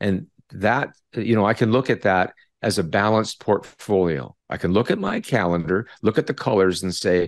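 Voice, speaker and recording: Speaking at a moderate pace with a Canadian accent, a man uses a normal speaking voice with fairly low pitch and ordinary pitch variation against a quiet background. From Canada. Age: 60s. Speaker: retired psychology professor. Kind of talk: interview conversation.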